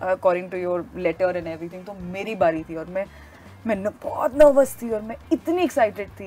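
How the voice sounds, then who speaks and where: A woman talks at a moderate pace with lively intonation and big swings in loudness, with music in the background. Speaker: interview guest. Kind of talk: interview answer. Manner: casual, anecdotal storytelling. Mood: animated, amused storytelling. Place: studio.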